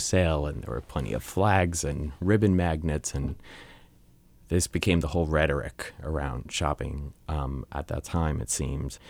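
In an American accent, the speaker moves at a moderate pace with ordinary pitch variation and some vocal fry. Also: man. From US, Long Island, New York. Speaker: photographer and photography teacher. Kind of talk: interview.

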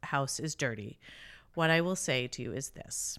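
On a very clean recording with a silent background, a woman talks in a very deep, low voice. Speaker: podcast co-host. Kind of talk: casual chat.

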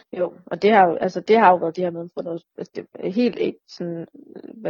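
This woman has a medium pitch, ordinary pitch variation and a moderate pace. It is an unremarkable speaking voice. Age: 30s. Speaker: chronically ill patient sharing experience. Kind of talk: casual interview.

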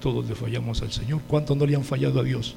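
Amid audible room echo, a man talks at a very fast pace with a Mexican accent. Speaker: preacher. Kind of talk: sermon. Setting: church. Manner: animated.

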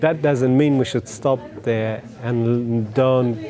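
A man speaks very slowly with an Afghan accent, his pitch medium. The room echoes audibly, and crowd noise carries in the background. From Afghanistan. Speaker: community development officer and former refugee. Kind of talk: personal testimony talk. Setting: dinner event with audience.

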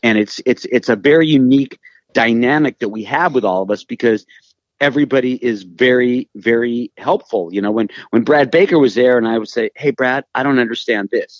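A man with an American accent speaks fairly quickly at a medium pitch with ordinary pitch variation. His normal speaking voice is recorded dry and close, with no echo. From Los Angeles, California. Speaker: radio host and music personality. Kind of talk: casual interview chat. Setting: remote audio call.

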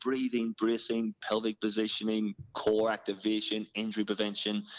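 A man with an Irish accent and a fairly low pitch talks at a moderate pace in a dry, close sound with no echo. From Ireland. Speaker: fitness trainer and business owner. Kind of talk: interview. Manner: animated.

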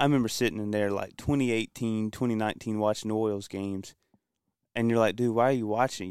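A man talks in a normal speaking voice at a moderate pace, his pitch fairly low. His intonation is fairly even, and the sound is dry and close with no echo. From Kinston, North Carolina. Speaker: sports fan guest. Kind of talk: casual sports talk. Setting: studio.

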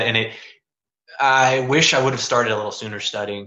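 Speaking at a fairly quick pace with an American accent, the man keeps a monotone, flat intonation. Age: 20s. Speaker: law school applicant, Marine veteran. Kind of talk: casual interview. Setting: online live stream with audience.

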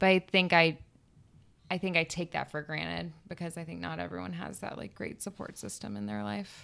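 A woman with an American accent speaks at a fairly quick pace in a very deep, low pitch with vocal fry, very wide pitch swings, and big swings in loudness. The recording is very clean, with a silent background. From Florida Panhandle, US South. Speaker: podcast guest, aspiring writer. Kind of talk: casual chat.

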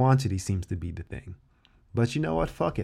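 The delivery has lively intonation and an animated tone. The recording is very clean, with a silent background. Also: man. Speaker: self-help vlogger. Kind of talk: angry rant. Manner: animated, worked-up, heavily profane; casual, emphatic, repeats key phrases.

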